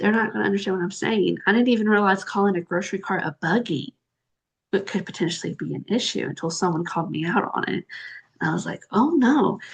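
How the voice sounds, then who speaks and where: Speaking at a very fast pace with a Southern US accent, a woman has a medium pitch and vocal fry over a quiet background. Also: ordinary pitch variation. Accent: Southern American. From US South. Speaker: interviewer. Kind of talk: interview.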